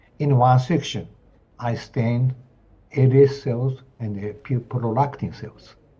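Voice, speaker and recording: At a very slow pace with long, frequent pauses, a man with a Japanese accent speaks in a somewhat breathy, dark, mellow voice at medium pitch, with ordinary pitch variation and big swings in loudness. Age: 70s. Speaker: professor of anatomy. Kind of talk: lecture. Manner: halting.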